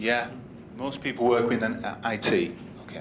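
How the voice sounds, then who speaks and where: A man with a Yorkshire accent speaks at a moderate pace, with audible room echo. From Yorkshire, northern England. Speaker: conference speaker, business analyst. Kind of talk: conference workshop talk. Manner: conversational, interactive.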